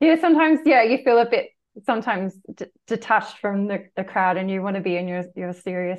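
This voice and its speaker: At a fairly quick pace, a woman with a medium pitch speaks with lively intonation. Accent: Australian. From Australia. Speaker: spiritual mentor and meditation teacher. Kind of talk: casual chat.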